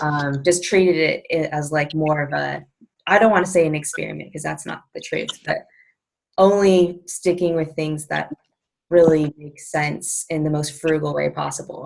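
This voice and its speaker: A quiet woman's voice at a moderate pace with big swings in loudness. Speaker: personal trainer. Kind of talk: video call interview. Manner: mellow and quiet.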